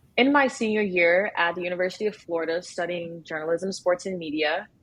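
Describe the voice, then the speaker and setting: There is noticeable background noise. A woman speaks at a medium pitch with ordinary pitch variation. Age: 20s. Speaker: journalism student. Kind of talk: podcast conversation.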